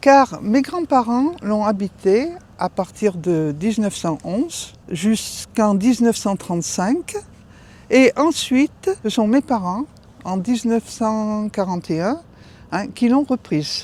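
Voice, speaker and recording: A woman's fairly high voice in a dark, mellow tone, with lively intonation at a very slow pace. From France, Auvergne (Livradois-Forez). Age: 70s. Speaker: retired teacher. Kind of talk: house tour narration. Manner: conversational, with fillers.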